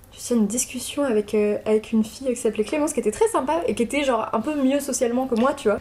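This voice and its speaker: A woman speaks very fast and high, with hardly any pauses and ordinary pitch variation. Noticeable background noise runs underneath. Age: 20s. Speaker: interviewee, former student. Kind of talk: casual interview. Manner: hesitant, many fillers.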